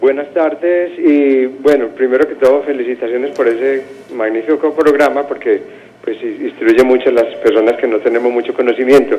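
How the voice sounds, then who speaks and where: A man's fairly high voice moves at a moderate speed, his intonation fairly even, with noticeable noise behind him. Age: 60s. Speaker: caller. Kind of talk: phone-in question. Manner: halting.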